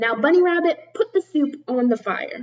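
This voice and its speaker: A woman's put-on character voice, growling at a high pitch, with very wide pitch swings and a moderate pace. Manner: snarling.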